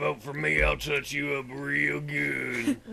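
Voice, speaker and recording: A man puts on a character voice. He speaks fairly slowly over clear background noise. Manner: creepy, leering.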